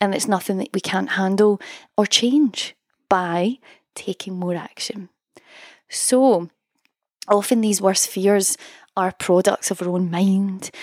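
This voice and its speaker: In a Scottish accent, a woman at a medium pitch talks at a very slow pace with fairly even intonation and long, frequent pauses, the sound dry and close with no echo on a very clean recording with a silent background. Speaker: songwriting coach and podcast host. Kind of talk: solo podcast monologue, motivational talk.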